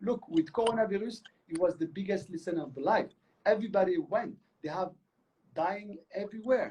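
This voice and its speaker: Pausing long and often despite a fairly quick pace, a man talks at a high pitch in a dark, mellow tone. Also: ordinary pitch variation. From Morocco. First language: Moroccan Arabic. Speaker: choreographer and artistic director. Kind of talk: interview. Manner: animated; halting.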